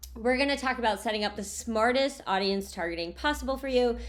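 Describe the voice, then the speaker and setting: Her voice is fairly high and animated, and this woman uses lively intonation. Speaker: online marketing consultant and tutor. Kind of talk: tutorial.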